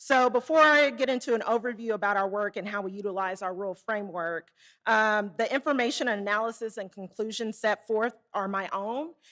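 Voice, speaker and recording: On a very clean recording with a silent background, a woman with a Southern accent talks fairly quickly in a bright, sharp, fairly high voice with ordinary pitch variation. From Arkansas, small town. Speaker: Federal Reserve community development researcher. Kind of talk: conference presentation. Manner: casual, hesitant.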